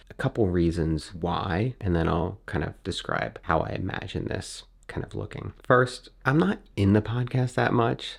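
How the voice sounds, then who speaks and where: A man speaks at a fairly slow pace with hardly any pauses, his very deep, low voice showing vocal fry and lively intonation. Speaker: YouTuber and podcast host. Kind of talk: casual vlog talk to camera. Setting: home studio.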